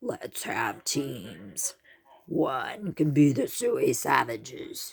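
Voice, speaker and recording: In a put-on character voice, the speaker talks very slowly at a middle pitch, sounding raspy. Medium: read story.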